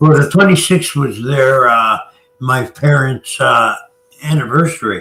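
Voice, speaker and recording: A man speaks at a fairly slow pace in a plain, everyday voice, his pitch fairly high and his pitch variation ordinary. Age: 60s. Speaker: regular show guest. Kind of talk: casual chat.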